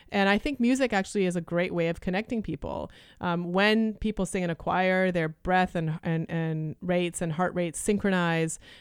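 On a very clean recording with a silent background, a woman with an ordinary speaking voice and a Canadian accent talks at a fairly low pitch and a fairly quick pace, with ordinary pitch variation. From Canada (Toronto), Lithuanian refugee family. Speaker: neuroscientist and opera singer. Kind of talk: interview.

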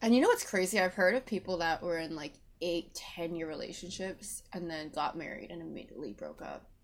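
A woman talks at a fairly quick pace in a fairly low pitch, with vocal fry and ordinary pitch variation. Her loudness swings a lot. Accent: Canadian. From Vancouver, Canada. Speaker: podcast guest. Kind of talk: casual chat. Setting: video call.

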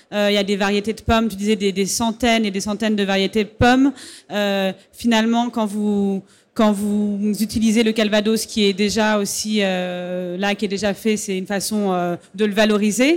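The recording is very clean, with a silent background. A woman speaks at a moderate pace and medium pitch in a monotone, flat intonation. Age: 30s. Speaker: interviewer, festival moderator. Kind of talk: stage interview. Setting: festival stage with audience.

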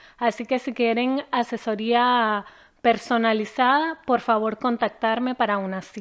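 A woman's normal speaking voice, fairly high in pitch, with fairly even intonation and a fairly slow pace. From Venezuela, Caracas. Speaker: immigration lawyer. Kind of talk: channel introduction.

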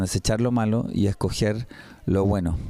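In a Chilean accent, a man speaks fairly slowly and fairly low, his dark, mellow tone held to a flat monotone. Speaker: radio host, church program presenter. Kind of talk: casual chat about bible teaching. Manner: halting, with repeated words.

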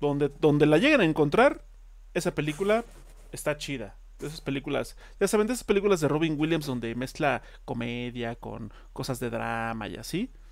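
In a very clean recording with a silent background, a man with a Mexican accent speaks at a moderate pace in a fairly high voice, with lively intonation and big swings in loudness. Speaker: podcast co-host. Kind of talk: casual chat.

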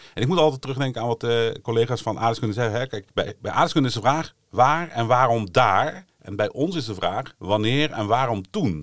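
Lively intonation from a man with an ordinary speaking voice and hardly any pauses. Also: medium pitch for a man, moderate pace. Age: 40s. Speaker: history lecturer. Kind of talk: casual educational podcast chat.

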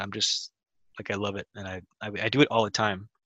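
In a bright, sharp tone, a man with an American accent speaks at a fairly low pitch and a fairly quick pace. The sound is dry and close with no echo, over a quiet background. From Mexico, later Wisconsin and Canada. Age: 20s. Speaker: film director. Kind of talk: casual interview chat.

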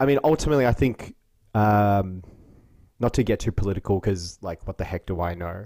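Dry and close with no echo, a man with an Australian accent speaks at a fairly quick pace with a fairly low pitch, a dark, mellow tone and ordinary pitch variation. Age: 30s. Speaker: podcast host. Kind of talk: casual interview chat. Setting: video call.

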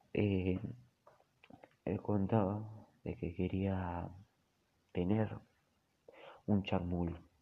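A man speaks in a very deep, low pitch with monotone, flat intonation. He goes at a very slow pace, leaving long, frequent pauses. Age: 30s. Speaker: storyteller. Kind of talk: storytelling monologue. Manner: halting, with many fillers and repetitions.

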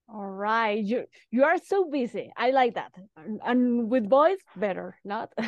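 A woman with a fairly high pitch speaks at a fairly slow pace with lively intonation and big swings in loudness, in a dry, close sound with no echo. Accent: Spanish. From Mexico. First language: Spanish. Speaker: football podcast host. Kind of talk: podcast interview.

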